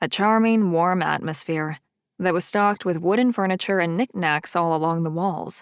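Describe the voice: Over a quiet background, the pitch shifts in an ordinary way during plain reading aloud.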